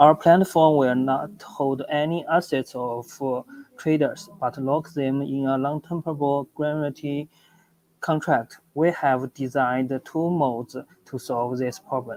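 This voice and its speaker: Speaking with a Chinese accent at a fairly slow pace, a man uses a fairly high pitch and fairly even intonation. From China. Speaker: startup founder. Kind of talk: project pitch presentation. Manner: halting, with stutters and restarts.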